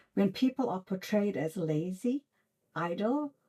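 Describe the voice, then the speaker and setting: A woman with an American accent speaks at a fairly slow pace with lively intonation. Her voice is somewhat breathy, with a dark, mellow tone. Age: old. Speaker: author. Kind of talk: reflective talk to camera. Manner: earnest, heartfelt.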